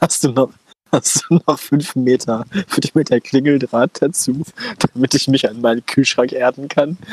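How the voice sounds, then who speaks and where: A plain, everyday voice belongs to a man speaking at a moderate pace in a medium pitch. The intonation is fairly even, and the sound is dry and close with no echo. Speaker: podcast co-host. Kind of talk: casual chat. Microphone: old headphones with a cheap headset mic.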